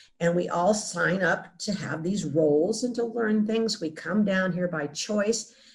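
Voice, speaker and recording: Speaking at a fairly slow pace with hardly any pauses, a woman uses a medium pitch and ordinary pitch variation over noticeable background noise. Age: 70s. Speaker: near-death experience survivor. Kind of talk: interview. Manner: halting.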